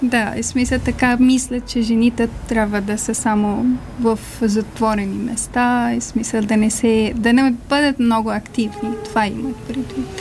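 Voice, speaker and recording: Over music in the background, a woman speaks at a fairly high pitch with monotone, flat intonation and a fairly slow pace. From Afghanistan. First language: not Bulgarian (Afghan language) (speaking Bulgarian). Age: 20s. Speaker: refugee, small business owner. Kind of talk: interview. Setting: studio.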